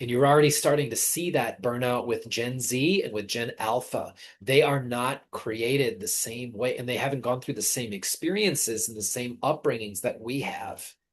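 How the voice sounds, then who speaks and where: At a moderate pace and with hardly any pauses, the speech plays over a quiet background. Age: 30s. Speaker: intuitive reader. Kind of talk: psychic reading session. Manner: halting, many fillers.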